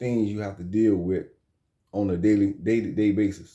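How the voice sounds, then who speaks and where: Here a man with an American accent speaks in a fairly low pitch. His tone is dark and mellow, and his pace is moderate. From South Carolina. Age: 40s. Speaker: former prisoner, YouTuber. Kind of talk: casual monologue. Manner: halting, many fillers.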